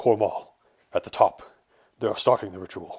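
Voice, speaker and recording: A man's raspy put-on character voice, fairly low in pitch, at a moderate pace on a very clean recording with a silent background. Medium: read story. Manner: resolute, self-sacrificing.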